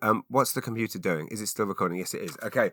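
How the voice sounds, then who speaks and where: An English accent marks this man's fairly low, bright, sharp voice with fairly even intonation, recorded dry and close with no echo in a very clean recording with a silent background. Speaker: podcast host and comedian. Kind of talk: casual solo podcast chat. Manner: fast; halting, repeats words.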